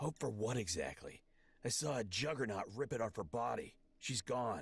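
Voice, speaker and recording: A raspy, put-on character voice from a man at a medium pitch and moderate pace. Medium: video game.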